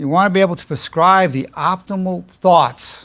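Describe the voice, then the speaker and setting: A man's high-pitched voice at a fairly slow pace on a very clean recording with a silent background. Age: 70s. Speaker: psychologist. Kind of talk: lecture. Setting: stage with audience.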